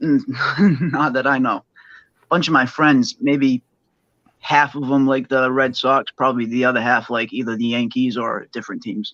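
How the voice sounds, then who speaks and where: Speaking with a Boston accent, a man talks at a moderate pace with medium pitch and fairly even intonation. His tone is bright and sharp, and the sound is dry and close with no echo. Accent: thick Boston. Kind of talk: casual chat.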